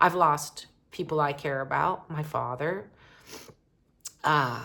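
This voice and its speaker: A woman speaks at a very slow pace in a very deep, low voice with ordinary pitch variation. Her tone is bright and sharp, marked by vocal fry. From Canada. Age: 60s. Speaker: romance author and vlogger. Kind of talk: unscripted personal vlog. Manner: conversational, with many fillers.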